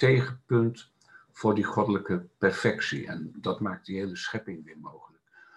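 Speaking at a moderate pace, a man has a fairly low pitch. His voice is somewhat breathy. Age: 60s. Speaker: laughter meditation and Sufi dance facilitator. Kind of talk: casual interview.

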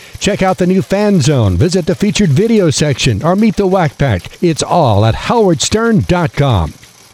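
A man speaks in an energetic tone at a moderate pace, with very wide pitch swings. Noticeable background noise sits behind him. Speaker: newscaster. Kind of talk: radio newsreading, brisk and polished, crisp anchor delivery with promo reads. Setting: studio. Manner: crisp, formal, steady, energetic.

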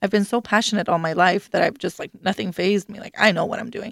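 A woman speaks very fast at a fairly high pitch, recorded dry and close with no echo against a silent background on a very clean recording. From Sweden, Stockholm. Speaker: author and life coach. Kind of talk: radio interview. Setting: radio studio. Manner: hesitant, many fillers.

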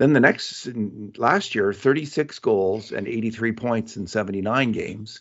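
A man with a fairly low pitch and a plain, everyday voice. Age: 60s. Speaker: sports journalist and podcast host. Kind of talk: casual hockey analysis chat.

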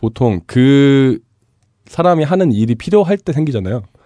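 With lively intonation, a man at medium pitch speaks in a plain, everyday voice. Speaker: culture and society commentator. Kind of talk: casual chat.

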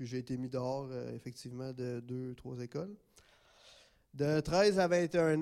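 A man in a Quebec accent talks at a fairly slow pace. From Gatineau, Quebec. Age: 20s. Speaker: testimony giver, program graduate. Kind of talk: testimony.

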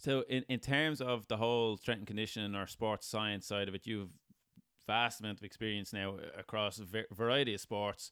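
A man with an Irish accent and a fairly low pitch. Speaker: podcast host. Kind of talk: interview.

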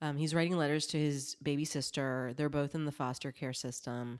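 A woman with an American accent, very deep and low-pitched, at a moderate pace with fairly even intonation, on a very clean recording with a silent background. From US South, South Carolina. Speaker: podcast host. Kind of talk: casual chat.

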